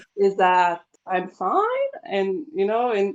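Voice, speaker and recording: Talking at a fairly slow pace, a woman uses lively intonation. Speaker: English teacher. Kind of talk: podcast interview. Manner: halting, many repetitions.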